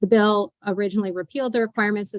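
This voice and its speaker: The sound is dry and close with no echo. A woman of medium pitch speaks at a very fast pace with fairly even intonation. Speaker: legislative committee staff. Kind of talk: bill briefing in committee session. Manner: formal.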